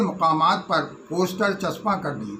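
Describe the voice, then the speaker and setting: Noticeable background noise sits under a man's high-pitched voice. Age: 80s+. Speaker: political activist and Urdu poet. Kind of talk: spoken remembrance.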